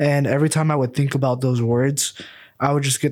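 A man with an American accent and an ordinary speaking voice talks at a medium pitch with fairly even intonation and a fairly quick pace. The recording is very clean with a silent background. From US Midwest, Ankeny, Iowa. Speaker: podcast co-host, real estate agent. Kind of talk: casual chat.

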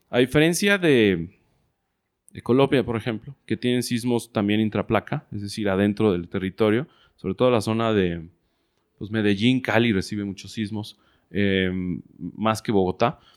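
A man speaks with a Mexican accent and a fairly low pitch. The recording is very clean with a silent background, and the sound is dry and close with no echo. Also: ordinary pitch variation, moderate pace. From Mexico, Guadalajara, Jalisco. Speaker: entrepreneur. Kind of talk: interview.

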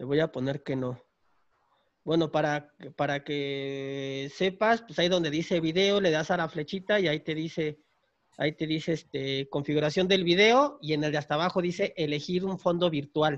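Against a quiet background, a man with an ordinary speaking voice talks at a moderate pace and a fairly high pitch, his pitch varying in an ordinary way. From Mexico, Tapachula, Chiapas. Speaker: podcast host. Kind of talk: casual chat. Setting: home recording during lockdown.

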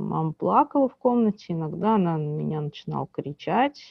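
This woman speaks at a moderate pace with an ordinary speaking voice, pitched fairly low for a woman. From Russia, Bryansk region. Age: 30s. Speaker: social journalist. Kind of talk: interview, personal testimony.

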